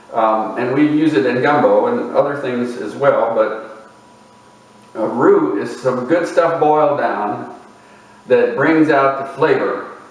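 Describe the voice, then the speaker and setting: A man talks very slowly, with audible echo from the room and noticeable noise in the background. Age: 60s. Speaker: video essayist. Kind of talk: reflective lecture. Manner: unhurried, with fillers.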